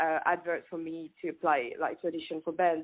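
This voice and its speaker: A woman's voice with a French accent. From France. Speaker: singer. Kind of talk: casual chat. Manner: halting.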